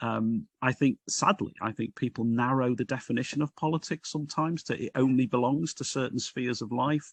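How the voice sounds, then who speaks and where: Against a quiet background, the speech keeps a moderate pace. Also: man, dry, close sound with no echo. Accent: Liverpool. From northern England, Liverpool. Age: 60s. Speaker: Baptist minister. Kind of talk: podcast interview. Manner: hesitant, with repeated words.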